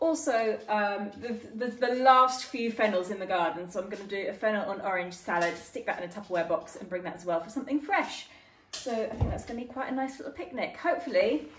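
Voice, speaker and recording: Talking at a very fast pace, a woman swings widely in loudness over noticeable background noise. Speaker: home cook vlogger. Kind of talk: casual vlog chat. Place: kitchen. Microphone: phone near.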